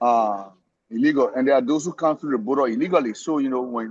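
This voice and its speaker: Speaking with a non-native accent, a man talks at a fairly quick pace with ordinary pitch variation. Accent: noticeable foreign. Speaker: immigrant discussion participant. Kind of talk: casual discussion. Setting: somewhere he cannot talk much. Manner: halting, many repetitions.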